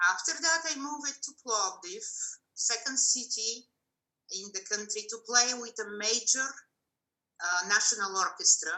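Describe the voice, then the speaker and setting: A woman with a Bulgarian accent speaks at a fairly slow pace, with long, frequent pauses. Her fairly high pitch carries lively intonation, and her loudness swings widely. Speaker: cellist. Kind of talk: interview.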